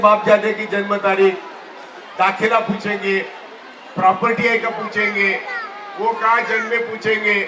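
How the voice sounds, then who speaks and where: A man's raised, projected voice in a monotone, flat delivery, over noticeable background noise. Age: 80s+. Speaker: retired judge, activist. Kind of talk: protest rally speech. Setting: sit-in protest gathering. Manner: impassioned.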